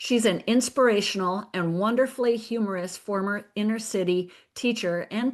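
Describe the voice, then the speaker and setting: With medium pitch and ordinary pitch variation, a woman talks in an unremarkable speaking voice. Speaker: podcast host. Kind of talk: podcast intro.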